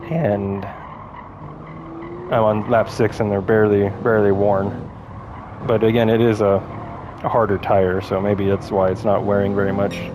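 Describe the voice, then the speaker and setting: The voice has monotone, flat intonation with long, frequent pauses. Noticeable background noise runs underneath. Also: man, fairly low pitch for a man, moderate pace, very even loudness. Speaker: sim racing gameplay commentator. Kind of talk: live gameplay commentary. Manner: casual, halting with fillers.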